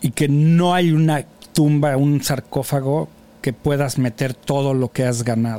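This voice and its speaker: A man with an unremarkable speaking voice, fairly high in pitch, at a fairly slow pace with fairly even intonation and very even loudness. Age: 50s. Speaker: podcast host. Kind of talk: casual chat. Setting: studio.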